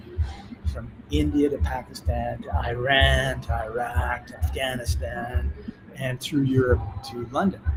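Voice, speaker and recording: With a Canadian accent, a man speaks at a very deep, low pitch with very wide pitch swings. Music plays in the background. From Canada. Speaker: author and entrepreneur. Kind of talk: interview storytelling. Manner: animated.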